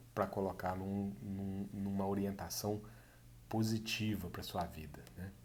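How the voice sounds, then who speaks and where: With a Minas Gerais accent, a man talks in a fairly low pitch, and room echo can be heard. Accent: mineiro. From Brazil, Minas Gerais. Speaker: course instructor. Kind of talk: online course introduction. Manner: hesitant, many fillers.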